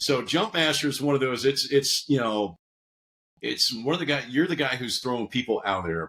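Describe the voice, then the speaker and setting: A man's medium-pitched voice with an American accent, bright, sharp tone, vocal fry, lively intonation and a fairly quick pace. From US Northeast. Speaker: army veteran, security consultant. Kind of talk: podcast interview. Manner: conversational with fillers.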